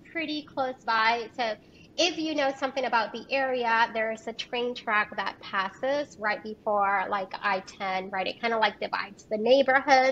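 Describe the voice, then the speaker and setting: Lively intonation marks a woman's high-pitched voice. She speaks at a fairly slow pace. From Puerto Rico. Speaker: health and lifestyle doctor. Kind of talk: interview.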